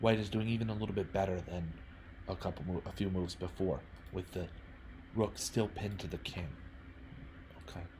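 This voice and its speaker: With a very deep, low pitch and a dark, mellow tone, a somewhat breathy man speaks at a fairly quick pace with fairly even intonation and long, frequent pauses. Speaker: chess streamer. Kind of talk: game review commentary. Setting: live stream. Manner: halting, self-correcting.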